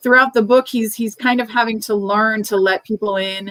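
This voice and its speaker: A woman speaks in a plain, everyday voice with an American accent, fairly high in pitch and fairly even in intonation. Her pace is moderate, and the sound is dry and close with no echo. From Cuban American, from Miami. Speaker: author. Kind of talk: author discussion at a book club event. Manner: thoughtful, conversational.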